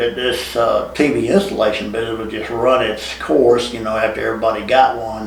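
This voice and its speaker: Audible room echo and noticeable background noise around a man's speech. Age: 70s. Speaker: TV installation and security camera business owner. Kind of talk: podcast interview. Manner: halting, with repeated words.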